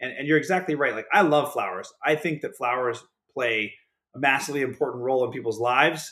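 On a very clean recording with a silent background, a man has a normal speaking voice with a fairly high pitch, speaking at a fairly quick pace with an American accent and ordinary pitch variation. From Pittsburgh, Pennsylvania. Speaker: startup founder. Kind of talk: casual interview.

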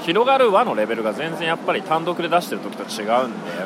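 Over noticeable background noise, a man talks very fast in a high pitch with very wide pitch swings. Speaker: podcast host. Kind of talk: casual chat. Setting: hotel restaurant.

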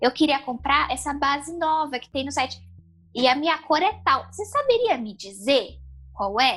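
A woman with a high voice speaks with lively intonation. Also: moderate pace. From São Paulo, Brazil. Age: 20s. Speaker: blind makeup enthusiast. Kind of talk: interview.

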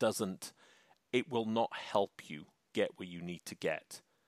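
In a very clean recording with a silent background, a man speaks at medium pitch. His pace is fairly slow, and the sound is dry and close with no echo. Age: 40s. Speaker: podcast host, insurance agency coach. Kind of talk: casual chat.

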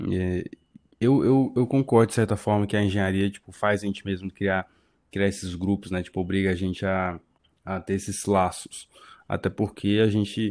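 It is a normal speaking voice in a very clean recording with a silent background. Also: man, fairly low pitch for a man, fairly even intonation, moderate pace. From Brasília. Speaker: podcast co-host, civil engineering graduate. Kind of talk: casual chat.

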